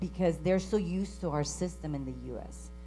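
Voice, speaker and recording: Against music in the background and audible room echo, a woman speaks at a moderate pace. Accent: Spanish. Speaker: credit union CEO. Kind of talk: conference panel discussion.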